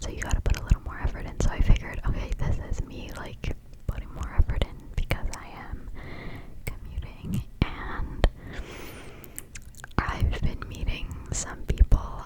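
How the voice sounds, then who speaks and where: A woman whispers at a moderate pace, with long, frequent pauses. Noticeable background noise runs behind her. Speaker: ASMR creator. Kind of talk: whispered ASMR ramble to camera. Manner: whispered, soft.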